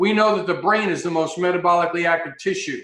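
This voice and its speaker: With ordinary pitch variation, a man talks at a fairly quick pace in a high pitch. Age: 60s. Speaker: health consultant, former paramedic. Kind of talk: interview talk.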